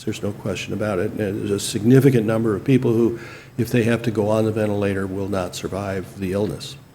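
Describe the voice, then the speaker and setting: A man with a fairly low pitch speaks with fairly even intonation. Noticeable background noise and audible room echo come through on the recording. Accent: American. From northern Illinois and Washington state. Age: 60s. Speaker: hospital chief medical officer. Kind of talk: interview. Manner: hesitant, many fillers.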